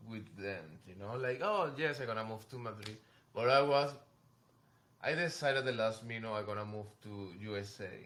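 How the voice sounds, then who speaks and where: A man with a Venezuelan accent speaks at a moderate pace. His tone is bright and sharp, with audible room echo. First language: Spanish. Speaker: fashion model. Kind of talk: casual chat. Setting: in New York. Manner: halting.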